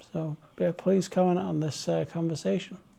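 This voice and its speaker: A man speaks in a Manchester accent at a high pitch. His tone is dark and mellow, and relaxed. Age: 40s. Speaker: vlogger. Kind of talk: casual chat.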